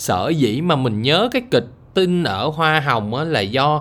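Lively intonation from a man at a fairly high pitch. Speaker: podcaster. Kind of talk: casual monologue. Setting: lying in bed.

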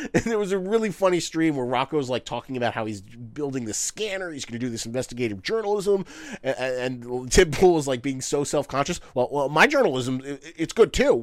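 With an unremarkable speaking voice, a man talks at a fairly quick pace and a fairly high pitch, with lively intonation, big swings in loudness and hardly any pauses. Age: 30s. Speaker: YouTuber. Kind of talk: casual chat.

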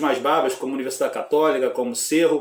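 A man's fairly high voice rises and falls with lively intonation. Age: 40s. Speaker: football fan YouTuber. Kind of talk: casual football talk vlog. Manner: animated.

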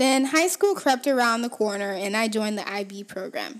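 A woman's fairly high pitch in a Haitian accent, at a moderate pace with ordinary pitch variation. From Haiti, Port-au-Prince. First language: Haitian Creole. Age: 20s. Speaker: podcast host. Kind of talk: personal monologue.

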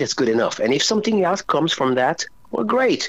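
A man with a French accent speaks at a moderate pace, his pitch swinging very widely. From France. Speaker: rock singer. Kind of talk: interview.

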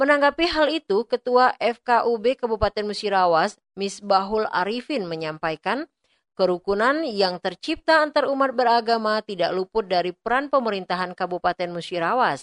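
Heard as a dry, close sound with no echo, a normal speaking voice moves at a moderate pace with lively intonation. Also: woman, fairly high pitch for a woman. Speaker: radio reporter. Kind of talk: news report.

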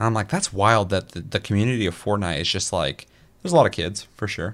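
A man with a plain, everyday voice, fairly low in pitch, with lively intonation, on a very clean recording with a silent background. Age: 30s. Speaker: gaming podcast host. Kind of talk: casual chat. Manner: profane.

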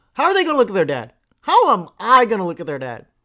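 In a very clean recording with a silent background, a raised, projected voice with a bright, sharp, animated tone moves at a fairly quick pace through very wide pitch swings. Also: man. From India (Chennai). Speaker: podcast host. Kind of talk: casual solo monologue.

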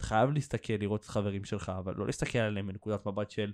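Against a quiet background, a man speaks at a very fast pace and a fairly low pitch in a dark, mellow tone. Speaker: podcast host and social media creator. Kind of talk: casual chat.

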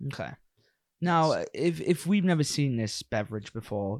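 The recording is very clean with a silent background as a man speaks at a moderate pace. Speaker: podcast host. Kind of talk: casual chat. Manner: joking, casual.

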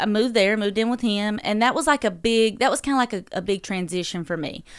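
The speaker is a woman with a medium-pitched voice. Her pitch variation stays ordinary. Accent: Southern US. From North Carolina, Dublin. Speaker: entrepreneur and mother. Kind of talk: casual interview. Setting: studio.

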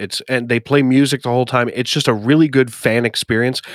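A man with an American accent talks at a fairly quick pace in a plain, everyday voice, medium in pitch with fairly even intonation, on a very clean recording with a silent background. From US Northeast. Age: 30s. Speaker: podcast host and sim racing commentator. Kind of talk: casual chat.

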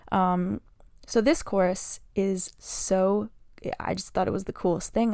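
A woman talks in an ordinary speaking voice at a medium pitch with fairly even intonation, on a very clean recording with a silent background. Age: 20s. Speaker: singer and podcaster. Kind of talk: solo podcast monologue, casual and conversational. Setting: home, sitting in a room with a microphone.

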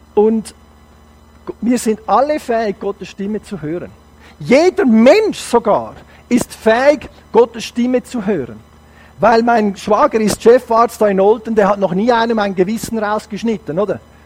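Speaking at a fairly slow pace with long, frequent pauses, a man with a high-pitched voice uses ordinary pitch variation over noticeable background noise. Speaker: guest preacher. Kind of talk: sermon. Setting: church service. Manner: animated.

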